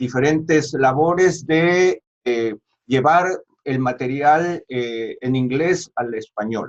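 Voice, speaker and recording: A man speaks with ordinary pitch variation. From Peru. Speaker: pastor. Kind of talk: interview. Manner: hesitant fillers.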